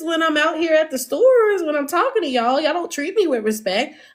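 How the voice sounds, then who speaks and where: A woman speaks with a Southern US accent. Her tone is animated, with very wide pitch swings. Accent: American Southern. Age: 30s. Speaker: livestreamer. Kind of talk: casual chat. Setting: livestream.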